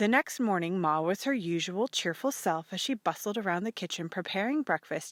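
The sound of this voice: Lively intonation in an unforced reading voice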